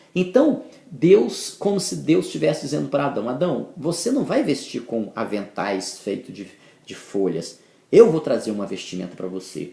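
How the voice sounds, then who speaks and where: A man is speaking. He keeps a moderate pace. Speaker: bible teacher. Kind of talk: bible teaching talk. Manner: halting.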